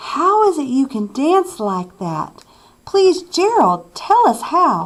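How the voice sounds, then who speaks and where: A squeaky, put-on character voice from a woman, extremely high in pitch and very slow in pace. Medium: read story.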